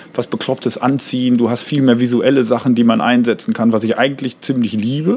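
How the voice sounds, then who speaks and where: Speaking fairly quickly in a normal speaking voice, a man keeps a medium pitch with ordinary pitch variation. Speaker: comedian and songwriter. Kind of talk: casual chat. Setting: outdoors on a terrace.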